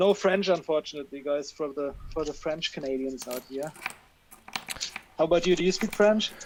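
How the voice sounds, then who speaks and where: With a German accent, a man speaks at a fairly quick pace in a fairly high pitch with ordinary pitch variation, long, frequent pauses and noticeable background noise. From western Germany, Cologne. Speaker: coin roll hunter. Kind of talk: live stream chat.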